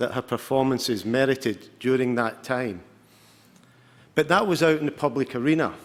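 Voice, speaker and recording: Speaking with a Glaswegian accent, a man keeps a moderate pace. His fairly high voice shows ordinary pitch variation. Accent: Scottish, Glaswegian. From Scotland, Glasgow. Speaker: football coach. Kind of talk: award presentation speech.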